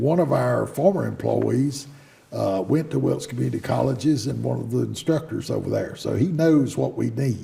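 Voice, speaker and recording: Over noticeable background noise, a man with a North Carolina accent talks at a moderate pace. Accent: Southern US (North Carolina). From US South (North Carolina, Davidson County). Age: 70s. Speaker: business owner. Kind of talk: interview. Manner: halting, frequent fillers.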